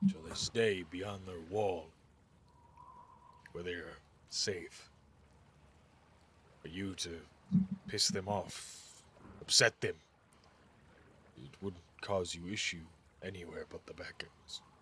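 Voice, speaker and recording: Using a put-on character voice, a man sounds raspy and very deep, low in pitch, with fairly even intonation. He goes at a fairly slow pace with long, frequent pauses and big swings in loudness. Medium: actual play. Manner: gentle, measured.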